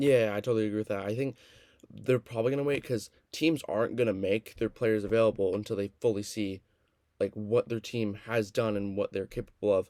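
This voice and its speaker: A man's fairly low-pitched voice, dark and mellow in tone, with fairly even intonation at a fairly quick pace. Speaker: podcast host. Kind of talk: casual podcast conversation. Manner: stuttering, stumbling.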